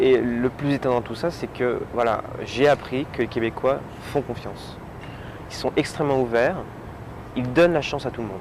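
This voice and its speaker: Long, frequent pauses and fairly even intonation come through over noticeable background noise. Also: man, medium pitch for a man, moderate pace. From France. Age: 30s. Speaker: French expat worker. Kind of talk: interview testimony. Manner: hesitant, with fillers.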